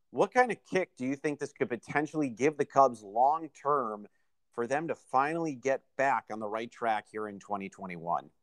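A man with an American accent at a moderate pace, medium in pitch, with lively intonation and a dry, close sound with no echo. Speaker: sports podcast co-host. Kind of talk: casual chat.

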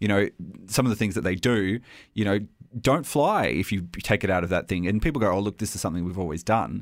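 On a very clean recording with a silent background, a man with an Australian accent talks very fast at a fairly low pitch with ordinary pitch variation. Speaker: podcast host. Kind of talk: casual chat.

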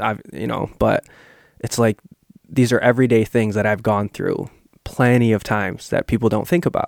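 An ordinary speaking voice at a moderate pace with ordinary pitch variation. The sound is dry and close, with no echo. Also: man, medium pitch for a man. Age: 20s. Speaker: adoptee sharing his story. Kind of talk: casual interview.

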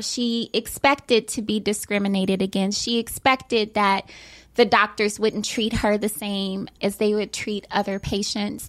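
Over a very clean recording with a silent background, a woman with a fairly high pitch speaks slowly in a monotone, flat intonation. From Louisiana, Lake Charles (until age ten). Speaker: nonprofit executive director. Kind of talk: interview conversation. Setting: in person at office. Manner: earnest, emotional.

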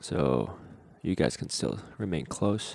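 A man's very deep, low voice with vocal fry, dry and close with no echo, on a very clean recording with a silent background. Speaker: solo podcaster. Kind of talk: solo monologue podcast. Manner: hesitant, many fillers.

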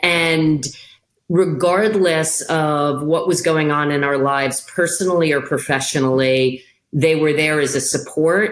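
A woman with a very deep, low pitch speaks at a fairly slow pace and very even loudness. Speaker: media company CEO. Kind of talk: interview. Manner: animated.

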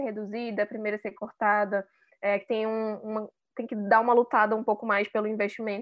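A woman with a fairly high pitch speaks in a normal speaking voice. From Manaus, Brazil. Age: 20s. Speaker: public relations and advertising professional. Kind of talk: casual interview.

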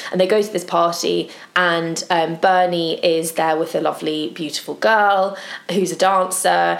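Someone speaks at a moderate pace with fairly even intonation over noticeable background noise. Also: woman, fairly low pitch for a woman. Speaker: podcast co-host. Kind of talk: casual chat.

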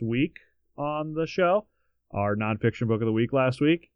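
Pitch for this man sits in the medium range and shifts in an ordinary way. He has an unremarkable speaking voice. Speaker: podcast co-host. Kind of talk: casual chat.

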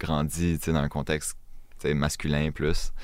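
A man speaks very slowly at a very deep, low pitch. His intonation stays fairly even. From Acadia, northern New Brunswick. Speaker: podcast guest. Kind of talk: casual interview chat. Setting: small podcast studio.

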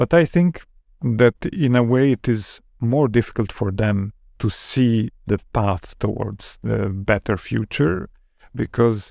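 A man with a Serbian accent talks at a very slow pace in a medium pitch with ordinary pitch variation, the sound dry and close with no echo on a very clean recording with a silent background. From Serbia, Belgrade. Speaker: foreign correspondent and documentary maker. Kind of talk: interview. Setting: studio.

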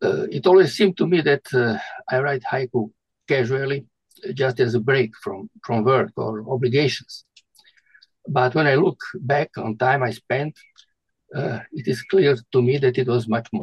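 A man with a Croatian accent speaks fairly slowly at a medium pitch, somewhat breathy, with ordinary pitch variation and a dry, close sound with no echo. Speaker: retired doctor and poet. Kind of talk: interview conversation. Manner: halting.

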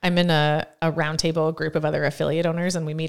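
Very fast and monotone, a woman speaks in a very deep, low pitch with flat intonation. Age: 30s. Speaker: gym owner and podcast co-host. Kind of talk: casual chat.

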